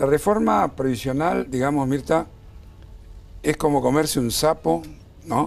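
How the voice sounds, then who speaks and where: Pausing long and often, a man with a fairly high pitch speaks at a fairly slow pace with lively intonation and very even loudness. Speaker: lawyer or pension rights advocate. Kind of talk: TV interview.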